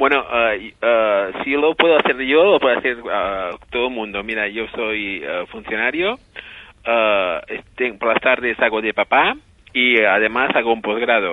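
Fairly slow speech from a man, medium in pitch, with ordinary pitch variation. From Menorca, Spain. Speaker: civil servant and amateur travel YouTuber. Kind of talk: phone interview. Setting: phone call. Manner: halting, many repetitions.

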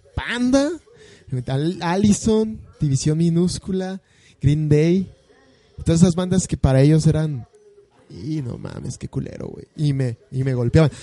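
With a dark, mellow tone and a fairly high pitch, a man speaks at a fairly slow pace with ordinary pitch variation, big swings in loudness and long, frequent pauses. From Mexico City area (Estado de México, Ecatepec). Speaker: podcast co-host. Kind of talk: casual chat.

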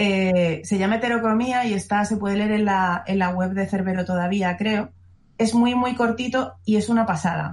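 A woman speaks at a moderate pace in a somewhat breathy voice with very even loudness. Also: medium pitch for a woman, fairly even intonation. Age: 40s. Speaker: horror writer. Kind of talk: casual chat.

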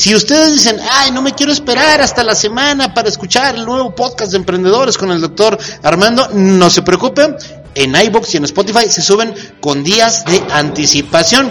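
Noticeable background noise sits behind a man with a Mexican accent. His pitch is high and his intonation lively. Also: moderate pace. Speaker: podcast host. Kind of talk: casual interview.

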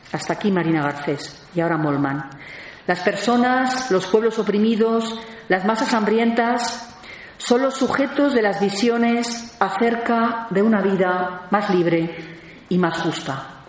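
A woman with a medium pitch speaks at a very slow pace and very even loudness, her intonation lively. Audible room echo and noticeable background noise surround her voice. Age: 50s. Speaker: theologian and lecturer. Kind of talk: lecture.

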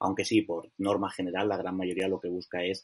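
A man speaks at a fairly quick pace. His pitch is very deep and low. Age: 20s. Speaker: digital marketing director. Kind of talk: interview.

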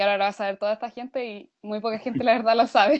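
A woman's fairly high, monotone voice with flat intonation at a very fast pace. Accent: Chilean. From Maule region, Chile. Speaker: university student. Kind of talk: casual chat.

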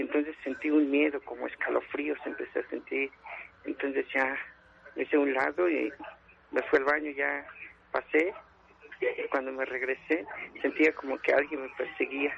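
Over noticeable background noise, a man speaks at a moderate pace, broken by long, frequent pauses. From Puebla, Mexico. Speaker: caller. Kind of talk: testimony.

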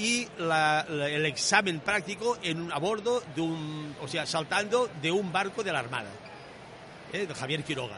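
With noticeable background noise behind him, a man speaks fairly slowly at a fairly high pitch with lively intonation. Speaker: veteran scuba diver. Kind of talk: round-table chat.

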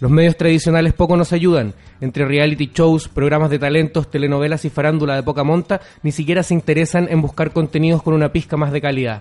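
A man's fairly high voice at a very fast pace, with very even loudness. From Chile, Viña del Mar. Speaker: radio host. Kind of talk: scripted opening editorial; radio show chat. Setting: radio studio.

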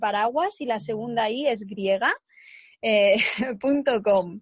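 Over a quiet background, a woman speaks very slowly in a somewhat breathy, fairly high voice with ordinary pitch variation. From Spain, Segovia. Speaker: podcast host. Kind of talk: casual interview.

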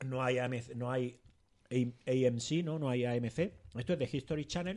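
A man's medium-pitched voice with ordinary pitch variation, at a fairly slow pace, against a quiet background. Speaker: podcast co-host. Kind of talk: casual chat.

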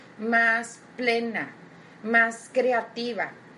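In a room with audible echo, a woman with a fairly high pitch speaks in a warm, enthusiastic tone. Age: 30s. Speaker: motivational podcast host. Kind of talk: motivational talk.

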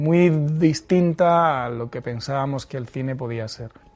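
Music in the background behind a man with a fairly high pitch and fairly even intonation. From Spain, Murcia. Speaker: film director. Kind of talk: interview. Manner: halting, many repeated words.

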